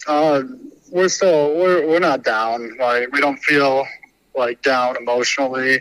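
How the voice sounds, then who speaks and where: A man with an unremarkable speaking voice, fairly high in pitch, at a fairly slow pace, with ordinary pitch variation and very even loudness. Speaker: baseball pitcher. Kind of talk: interview about a game.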